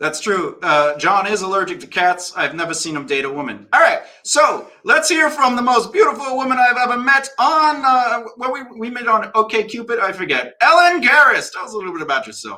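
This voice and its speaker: A man with a Brooklyn accent speaks in a raised, projected voice at an extremely high pitch, with a bright, sharp tone. He talks at a fairly quick pace with hardly any pauses, and his pitch swings very widely while his loudness swings a lot. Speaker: talk show host. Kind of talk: panel discussion. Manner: fast.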